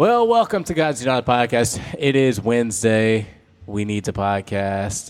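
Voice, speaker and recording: A man's unremarkable speaking voice with an American accent, medium pitch, ordinary pitch variation and a fairly slow pace. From US South. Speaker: pastor, podcast co-host. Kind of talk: casual faith discussion.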